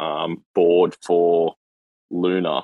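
A man with an Australian accent. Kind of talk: casual chat. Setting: online audio room.

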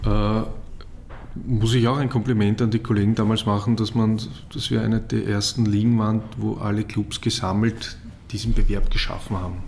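With a normal speaking voice, a man talks at a moderate pace. Fairly low in pitch, he keeps his intonation fairly even. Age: 40s. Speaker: football league executive. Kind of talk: interview.

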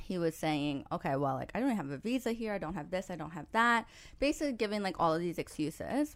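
Very wide pitch swings from a woman at a medium pitch and fairly quick pace, on a very clean recording with a silent background. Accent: New York. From New York. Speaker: podcast host and matchmaker. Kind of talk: casual chat.

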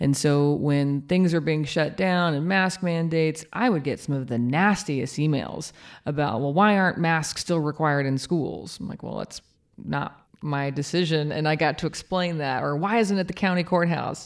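A woman with a very deep, low voice speaks at a moderate pace with ordinary pitch variation, in a very clean recording with a silent background. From Kansas. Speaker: mayor. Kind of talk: interview.

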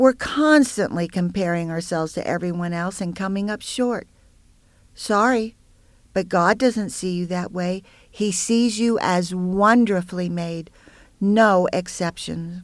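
A woman's plain, everyday voice at a fairly slow pace, with ordinary pitch variation. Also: medium pitch for a woman, very clean recording, silent background. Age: 60s. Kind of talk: devotional teaching monologue.

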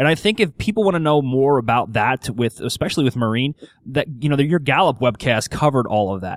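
A man talks at a very fast pace, his medium-pitched voice full of lively intonation. The sound is dry and close, with no echo. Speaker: podcast host and strengths coach. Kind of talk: podcast interview. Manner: radio announcer style.

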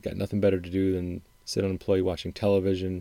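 With an American accent, a man talks at a very fast pace in a very deep, low pitch and a dark, mellow tone. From Wisconsin, upper Midwest US. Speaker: podcast host, music commentator. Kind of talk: solo podcast monologue.

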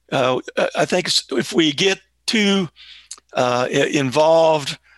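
Against a quiet background with a dry, close sound and no echo, a man with an American accent speaks in a bright, sharp, fairly high-pitched voice with ordinary pitch variation. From Florida, Tallahassee. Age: 70s. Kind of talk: casual chat.

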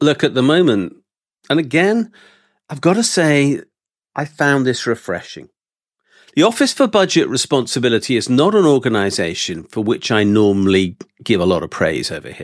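A man with a British accent and a fairly high voice speaks at a moderate pace with vocal fry, very wide pitch swings, and long, frequent pauses. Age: 60s. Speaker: economics and accountancy professor. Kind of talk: casual political discussion.

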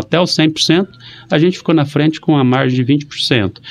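An unremarkable speaking voice, a man's talks at a moderate pace with lively intonation. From Brazil, Maringá (Paraná). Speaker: mayor. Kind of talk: casual interview. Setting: radio studio.

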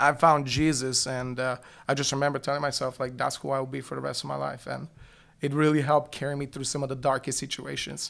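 A man with a Bulgarian accent speaks very fast at a medium pitch in a monotone, flat delivery, in a very clean recording with a silent background. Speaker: youth pastor. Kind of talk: testimony.

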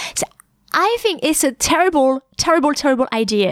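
At a moderate pace, a woman talks in a high pitch with very wide pitch swings. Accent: French. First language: French. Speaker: French teacher and podcast host. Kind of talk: educational podcast monologue. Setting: podcast recording. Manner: clear and concise; hesitant with fillers.

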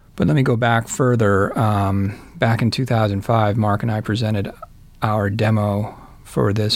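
A man with an American accent, fairly low pitch, fairly even intonation and a very slow pace. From US East Coast. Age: 50s. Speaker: singer-songwriter. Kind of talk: interview answers read from prepared text.

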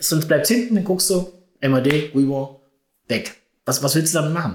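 A man's voice, somewhat breathy, carries ordinary pitch variation. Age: 50s. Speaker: purchasing and housekeeping manager. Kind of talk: casual interview.

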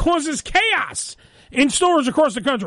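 A man speaks in a raised, projected voice at an extremely high pitch. His intonation is lively. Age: 40s. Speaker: radio show host. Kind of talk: casual chat. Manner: animated.

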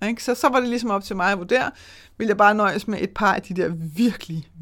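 In a normal speaking voice, a woman talks at medium pitch and a fairly quick pace on a very clean recording with a silent background. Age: 40s. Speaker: money mindset coach and podcast host. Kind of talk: solo podcast monologue. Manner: casual with frequent fillers.

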